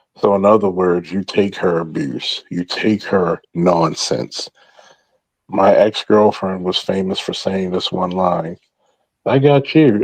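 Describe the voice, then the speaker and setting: Lively intonation with an American accent, at a fairly slow pace, in a dry, close sound with no echo. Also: man. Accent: Baltimore accent, stronger when drinking. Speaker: former police officer, talk show host. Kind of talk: casual chat, group discussion. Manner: animated, emphatic.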